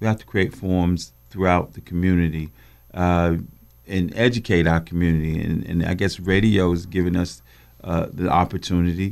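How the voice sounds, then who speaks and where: At a moderate pace, the speaker uses fairly even intonation with an American accent on a very clean recording with a silent background. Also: man, very deep, low pitch for a man. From Greensboro, North Carolina. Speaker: agency president. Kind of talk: radio interview.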